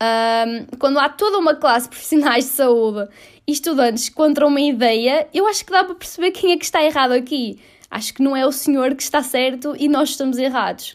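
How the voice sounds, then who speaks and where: A woman with a European Portuguese accent, high in pitch, at a fairly quick pace with ordinary pitch variation. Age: 20s. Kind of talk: solo opinion monologue. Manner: casual, with many fillers.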